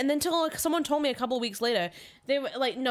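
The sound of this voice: Very fast speech from a woman over noticeable background noise.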